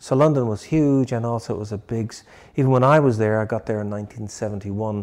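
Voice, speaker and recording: A man in a Dublin accent talks at a very fast pace with a medium pitch and ordinary pitch variation, over a quiet background. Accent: Dublin Irish. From Ireland, Dublin. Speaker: barber and shop owner. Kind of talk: interview.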